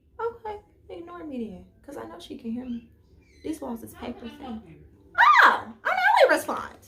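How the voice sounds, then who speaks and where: A woman speaks in an animated tone at a fairly quick pace, her pitch swinging very widely. Noticeable background noise sits behind her. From Chicago, US Midwest. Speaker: YouTuber, college student. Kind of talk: casual chat. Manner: loud.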